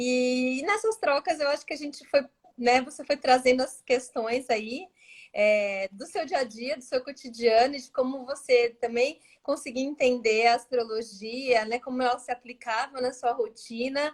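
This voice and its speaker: A woman with a high voice and a strong São Paulo accent talks at a fairly slow pace with ordinary pitch variation. Her loudness swings widely from moment to moment. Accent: strong São Paulo (paulistano). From São Paulo, Brazil. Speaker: astrologer. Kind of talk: casual interview chat. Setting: Instagram live video call.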